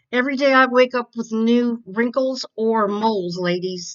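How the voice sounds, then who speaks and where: Speaking with a normal speaking voice, a woman keeps a fairly slow pace and ordinary pitch variation. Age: 60s. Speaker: beauty vlogger. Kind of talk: makeup tutorial. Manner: casual, chatty.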